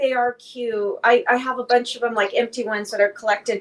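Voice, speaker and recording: The voice is loud and moves at a fairly quick pace. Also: woman. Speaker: live stream host, fragrance collector. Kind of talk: casual chat.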